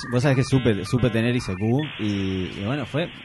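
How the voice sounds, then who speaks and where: Music plays in the background as a man with a Uruguayan accent talks fairly slowly. His pitch is medium, with ordinary variation. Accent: Uruguayan Rioplatense Spanish. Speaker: podcast host. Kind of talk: casual chat. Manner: halting.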